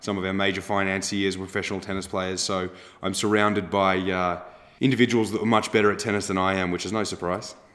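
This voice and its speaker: In a slight Australian accent, a man with fairly low pitch talks very fast in a monotone, flat intonation, with audible room echo. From Australia, Melbourne. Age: 20s. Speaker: agtech startup founder and CEO. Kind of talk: interview.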